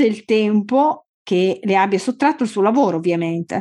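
Against a quiet background, a woman speaks fairly slowly at a fairly high pitch, her voice swinging very widely in pitch. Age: 40s. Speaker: podcast host. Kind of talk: scripted introduction; interview.

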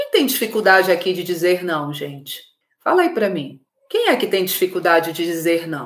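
A woman talks at a moderate pace with a medium pitch and ordinary pitch variation. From Belém do Pará, northern Brazil. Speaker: emotional clarity facilitator, livestream host. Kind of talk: live-streamed workshop talk to viewers. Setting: live video stream. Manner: animated.

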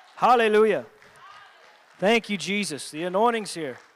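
A man's high-pitched voice at a moderate pace with ordinary pitch variation, with crowd noise in the background. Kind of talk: sermon with altar-call prayer. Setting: church with live congregation and online stream.

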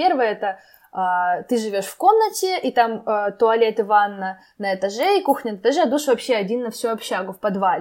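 The recording is very clean, and the background is silent. Intonation rises and falls in a lively way. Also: woman. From Arkhangelsk, northern Russia. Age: 20s. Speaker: university student. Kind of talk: casual interview.

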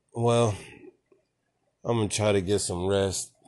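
This man keeps his intonation fairly even, his pitch fairly low. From Nashville, Tennessee, US South. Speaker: podcast host. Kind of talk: casual chat.

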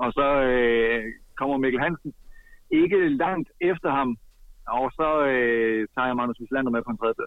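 A man with a plain, everyday voice talks in a medium pitch at a fairly slow pace, with ordinary pitch variation. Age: 30s. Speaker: handball expert commentator. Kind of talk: casual chat.

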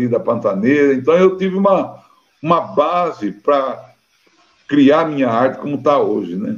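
Pitched fairly high, a man speaks at a moderate pace with very wide pitch swings. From Brazil, Cáceres, Mato Grosso. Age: 60s. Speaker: musician and researcher. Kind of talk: interview.

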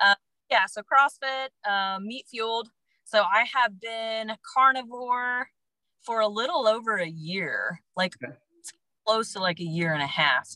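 A woman with a normal speaking voice talks at a fairly slow pace, her fairly high voice carrying lively intonation and big swings in loudness. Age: 30s. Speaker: health coach. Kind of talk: casual interview.

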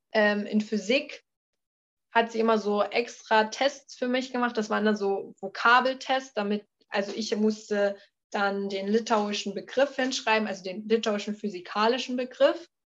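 A woman speaks at a moderate pace in a plain, everyday voice, her fairly high pitch held in fairly even intonation against a quiet background. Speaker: former exchange student. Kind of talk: interview.

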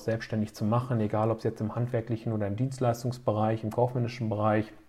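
This man's voice sits at a medium pitch. His intonation stays flat and monotone. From Germany, Höxter district (East Westphalia). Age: 30s. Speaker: business association chairman and city councillor. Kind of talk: podcast interview. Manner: frequent filler hesitations.

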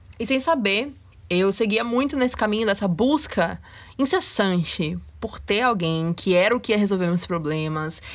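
A woman speaks in a plain, everyday voice at medium pitch and a moderate pace. Her intonation is lively. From Brazil, Salvador and interior of Rio de Janeiro. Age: 20s. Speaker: podcast host. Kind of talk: solo podcast monologue.

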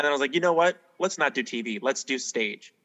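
A man's plain, everyday voice with lively intonation. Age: young. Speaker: musical theater actor. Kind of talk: casual interview.

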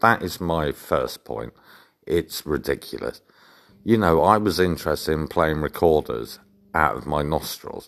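Very deep, low man's voice with vocal fry and an English accent, ordinary pitch variation and a fairly slow pace. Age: 40s. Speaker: video blogger. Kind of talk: personal storytelling monologue.

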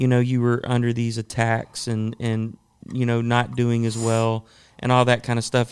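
In a very clean recording with a silent background, a man with a normal speaking voice talks at a moderate pace and medium pitch. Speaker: podcast host. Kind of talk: casual interview chat.

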